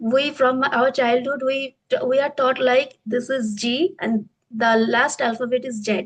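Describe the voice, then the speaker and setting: The speaker moves at a fairly slow pace. The intonation stays fairly even. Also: woman. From India, Bengal. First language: Bengali. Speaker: English teacher. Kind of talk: interview. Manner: halting.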